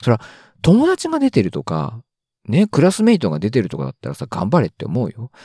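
On a very clean recording with a silent background, a man's dark, mellow voice makes very wide pitch swings in a dry, close sound with no echo. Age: 30s. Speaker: solo podcaster. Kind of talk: casual solo monologue.

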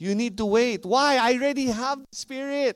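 A man speaks with a Filipino accent. The recording is very clean, with a silent background. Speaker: pastor. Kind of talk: sermon; mock infomercial pitch in a sermon. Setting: church. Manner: passionate, audience-engaging.

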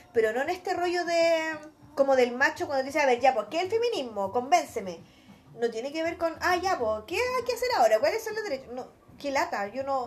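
In a Chilean accent, a woman with high pitch talks fairly quickly with very wide pitch swings. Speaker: podcast co-host, lawyer. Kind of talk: casual chat.

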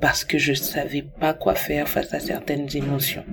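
A woman speaks with a very deep, low pitch. Noticeable background noise runs beneath her. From Cameroon. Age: 20s. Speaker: testimony contributor. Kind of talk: recorded testimony.

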